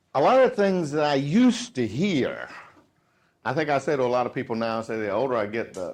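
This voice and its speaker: An animated tone in a Southern US accent, at a moderate pace, over a quiet background. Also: man. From US South. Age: 50s. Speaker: sales trainer. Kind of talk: motivational speech.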